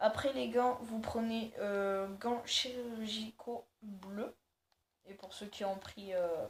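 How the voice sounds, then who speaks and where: A woman's somewhat breathy voice, fairly high in pitch, with fairly even intonation, big swings in loudness and a very slow pace. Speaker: gaming youtuber. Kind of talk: game tutorial. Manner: hesitant, many fillers.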